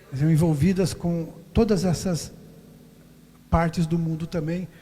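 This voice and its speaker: Speaking at a fairly slow pace, a man uses a high pitch with a dark, mellow tone and fairly even intonation. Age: 70s. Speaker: missionary pastor. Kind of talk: sermon; prayer.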